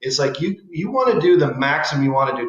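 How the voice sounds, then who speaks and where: Audible room echo follows a man speaking at a fairly high pitch and a fairly quick pace. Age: 60s. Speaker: cosmetic surgeon. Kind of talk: casual chat. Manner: halting, with frequent restarts.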